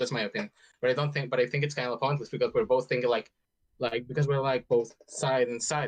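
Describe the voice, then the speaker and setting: A man's somewhat breathy voice at a very fast pace, lively in intonation, with a dry, close sound and no echo. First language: not English. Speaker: caller in debate. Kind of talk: casual debate.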